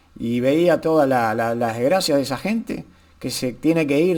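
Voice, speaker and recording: Lively intonation at a fairly slow pace. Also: man. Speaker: YouTuber, political commentator. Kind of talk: casual vlog commentary. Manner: halting, repetitive.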